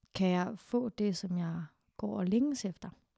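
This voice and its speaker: A woman with a dark, mellow tone and a somewhat breathy medium pitch is heard in a dry, close sound with no echo. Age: 30s. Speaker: sexologist and therapist. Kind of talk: casual chat.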